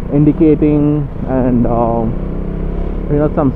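A man speaks in a dry recording with no echo. Noticeable background noise runs underneath. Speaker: motovlogger. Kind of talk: casual vlog chat. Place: motorbike.

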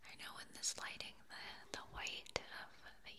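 A soft-spoken woman whispers against loud background noise. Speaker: ASMR creator. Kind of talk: soft-spoken ASMR chat. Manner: soft close whisper into binaural mic. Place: home room. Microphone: studio mic.

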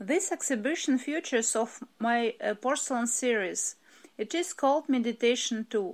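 With a Russian accent, a woman speaks at a high pitch and a moderate pace, her loudness very even. The recording is very clean, with a silent background. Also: ordinary pitch variation. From Russia, Moscow. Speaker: ceramic artist. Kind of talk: prepared artist statement.

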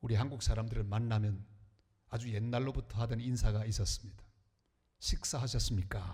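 Talking at a fairly quick pace, a man sounds somewhat breathy. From Korea, northern Gyeongbuk (Andong). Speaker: pastor. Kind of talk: sermon. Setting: church.

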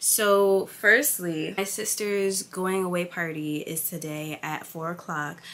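Speaking very slowly yet with hardly any pauses, a woman with an American accent uses a fairly low pitch and ordinary pitch variation. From New York City, Staten Island; New York City. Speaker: lifestyle vlogger. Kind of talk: vlog narration. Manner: casual, chatty. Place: home room. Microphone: phone near.

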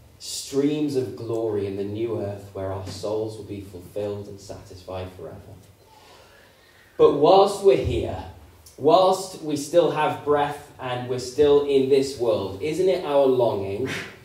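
Very slow man's speech with big swings in loudness and audible room echo. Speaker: preacher. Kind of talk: sermon. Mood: earnest, hopeful. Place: church.

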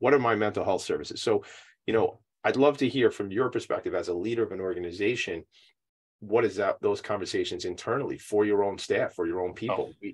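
The speech comes at a very fast pace. The background is quiet. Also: man. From Long Island, New York; New York. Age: 40s. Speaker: nonprofit talk show host. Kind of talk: casual interview. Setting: video call from home attic. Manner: animated. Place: home room. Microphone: video call.

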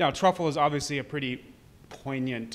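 This is a man's voice. He talks at a fairly quick pace. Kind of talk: interview answer. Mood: enthusiastic, friendly. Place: bar. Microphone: handheld.

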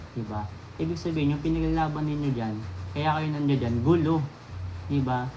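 Speaking at a fairly quick pace with long, frequent pauses, a man uses a fairly high pitch and ordinary pitch variation. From Manila, Philippines. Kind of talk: angry rant. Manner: scolding, emphatic.

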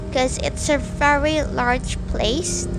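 A woman talks very slowly. Behind her, music is playing. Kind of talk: casual vlog chat. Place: car. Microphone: phone near.

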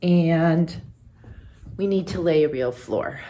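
Fairly low-pitched woman's voice over music in the background. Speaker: home renovation vlogger. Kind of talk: casual vlog chat. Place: home room. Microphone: phone near.

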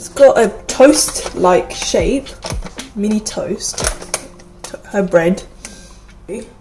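Over noticeable background noise, a woman talks at a very slow pace, her loudness swinging widely. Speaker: snack reviewer. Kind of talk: casual vlog chat. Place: kitchen. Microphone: phone near.

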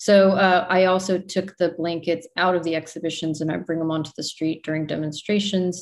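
A woman's fairly low voice with an American accent, fairly quick with hardly any pauses, in a monotone, flat intonation. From Texas, Dallas–Fort Worth area; Texas. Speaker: performance and visual artist; artist giving lecture. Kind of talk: artist lecture. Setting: video call. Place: home room. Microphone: video call.

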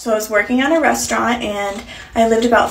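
Her words come at a very fast pace. The woman's pitch shifts in an ordinary way. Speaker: content creator. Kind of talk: casual vlog chat. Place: bathroom. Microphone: phone near.

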